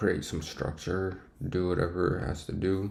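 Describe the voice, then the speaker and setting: Audible room echo surrounds a man with a very deep, low voice speaking at a moderate pace. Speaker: day trader streamer. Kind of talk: live trading stream commentary. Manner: casual, halting with fillers; whispering.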